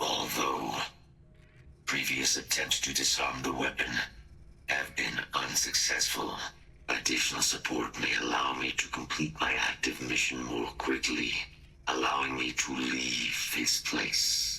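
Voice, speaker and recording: A man puts on a robotic character voice with a very deep, low pitch, and background noise is clearly audible. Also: fairly slow pace. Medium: video game. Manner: clipped, formal, mechanical.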